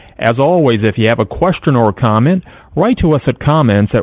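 With lively intonation, a man uses an unremarkable speaking voice pitched at a medium level. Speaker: radio host. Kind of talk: radio show hosting. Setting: studio.

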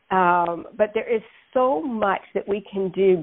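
A woman with a normal speaking voice talks at a medium pitch with lively intonation. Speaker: dietitian and diabetes educator. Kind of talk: interview.

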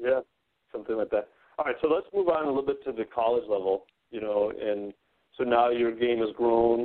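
A man speaks at a fairly quick pace with long, frequent pauses, his medium-pitched voice showing ordinary pitch variation. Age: 40s. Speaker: podcast host. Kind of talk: interview.

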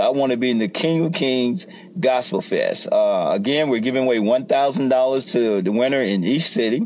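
Over noticeable background noise, a man with a Southern US accent speaks at a medium pitch with lively intonation. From rural US South. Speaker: pastor and gospel music promoter. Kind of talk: promotional talk.

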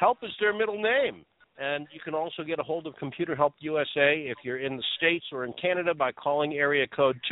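The man speaks with an American accent. His fairly high voice shows ordinary pitch variation. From Boston. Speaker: co-host. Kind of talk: radio ad read.

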